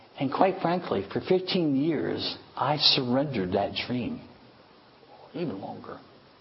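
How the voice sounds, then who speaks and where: A man with a fairly high voice talks at a fairly slow pace, his pitch swinging very widely, with long, frequent pauses, audible room echo and noticeable background noise. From High Park. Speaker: pastor. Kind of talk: sermon.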